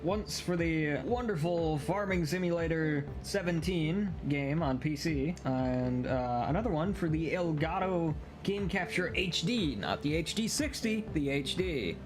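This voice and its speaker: Over noticeable background noise, a man talks at a fairly slow pace with hardly any pauses. His fairly high voice keeps very even loudness and ordinary pitch variation. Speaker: hobbyist voice actor. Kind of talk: casual talk to camera. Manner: hesitant, many filler words.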